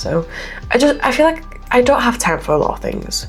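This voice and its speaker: Music plays in the background as a woman speaks with audible room echo. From Poland. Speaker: gaming YouTuber. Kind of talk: casual chat over gameplay. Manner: chatty, rambling.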